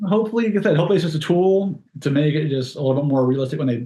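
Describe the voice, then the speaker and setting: Somewhat breathy man's voice, fairly high in pitch, with a dark, mellow tone. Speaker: stunt performer. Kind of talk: casual interview chat. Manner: fast-talking.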